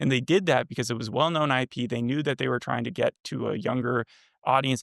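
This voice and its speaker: Very fast and with vocal fry, a man speaks at medium pitch with ordinary pitch variation, in a dry, close sound with no echo. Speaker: podcast co-host reviewing TV. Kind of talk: casual chat.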